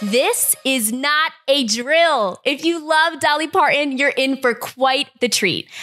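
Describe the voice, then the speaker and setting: A woman speaks very slowly in a raised, projected voice with ordinary pitch variation. Music plays in the background. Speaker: podcast host. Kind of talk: scripted news roundup. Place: kitchen. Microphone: studio mic.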